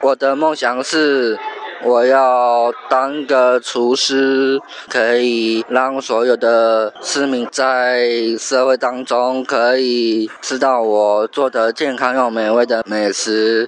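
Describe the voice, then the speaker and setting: Over noticeable background noise, the speech is very slow and monotone, with very even loudness. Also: man, medium pitch for a man. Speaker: university student and street performer. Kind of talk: interview.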